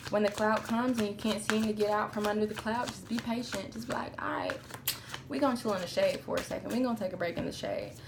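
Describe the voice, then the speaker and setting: Over noticeable background noise and audible room echo, a woman talks very fast. Her pitch is fairly high, with ordinary variation. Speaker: tarot reader. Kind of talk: tarot reading. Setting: outdoors in a park. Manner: subdued, melancholy tone; casual, profane.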